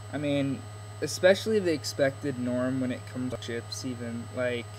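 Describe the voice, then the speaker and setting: A man talks at a medium pitch with ordinary pitch variation. Audible room echo surrounds his voice. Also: moderate pace. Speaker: video blogger. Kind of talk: casual vlog monologue. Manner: halting, stuttering a bit.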